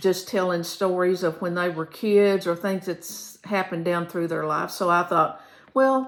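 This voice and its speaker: This woman has a medium pitch and speaks with a Kentucky accent. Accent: southern US, Kentucky. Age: 70s. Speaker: retired teacher, vlogger. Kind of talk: casual chat. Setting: home video, seated. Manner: hesitant with fillers.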